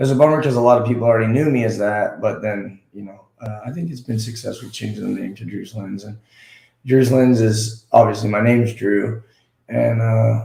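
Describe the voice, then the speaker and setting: Fairly quick and somewhat breathy, a man's medium-pitched voice has a dark, mellow tone, fairly even intonation and big swings in loudness. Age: 30s. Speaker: YouTuber. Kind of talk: interview.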